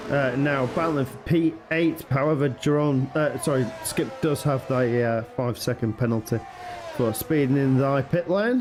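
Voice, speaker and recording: Music plays in the background as a man talks in a fairly high voice. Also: ordinary pitch variation, moderate pace. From northern England. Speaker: sim racing commentator. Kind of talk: live commentary. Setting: live stream.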